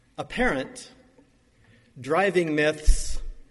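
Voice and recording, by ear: At a very slow pace, a man speaks with a fairly high pitch, a fairly bright tone and a slightly husky edge. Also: ordinary pitch variation.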